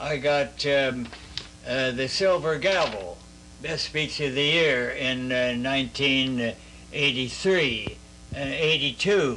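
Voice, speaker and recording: Speaking at a very slow pace with a Midwestern accent, a man keeps a medium pitch and ordinary pitch variation over noticeable background noise. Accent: American Midwestern. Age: 80s+. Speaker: war veteran. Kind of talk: interview answer. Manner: hesitant, halting.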